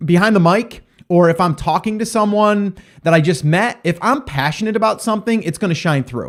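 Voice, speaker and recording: A man is speaking. His intonation is lively. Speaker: podcast host. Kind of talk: solo podcast monologue. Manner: high energy; fast.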